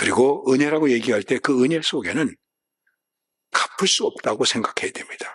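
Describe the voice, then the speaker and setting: A man's voice, fairly high in pitch, at a moderate pace with a dry, close sound with no echo. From South Korea. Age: 70s. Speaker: pastor. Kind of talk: sermon.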